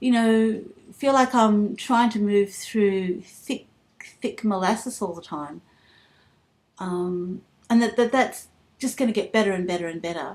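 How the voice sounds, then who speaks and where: This woman has an Australian accent and a fairly high pitch with ordinary pitch variation. Her pace is fairly slow, with long, frequent pauses. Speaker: vlogger. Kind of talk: personal vlog. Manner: halting.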